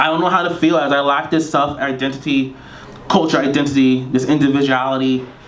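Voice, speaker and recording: A man with a Caribbean accent at a fairly high pitch and fairly quick pace, ordinary pitch variation, audible room echo and noticeable background noise. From Trinidad. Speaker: poet. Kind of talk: poetry reading. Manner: fast.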